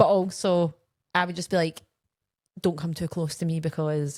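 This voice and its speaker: A woman with a Scottish accent and a fairly low pitch talks at a moderate pace in a monotone, flat way, with long, frequent pauses. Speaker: podcast co-host. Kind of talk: casual chat.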